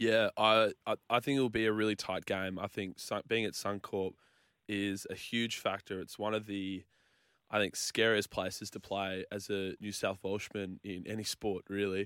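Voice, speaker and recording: A man speaks in a flat monotone at a fairly low pitch. The recording is very clean, with a silent background. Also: moderate pace. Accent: Australian. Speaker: sports radio co-host. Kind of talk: casual chat.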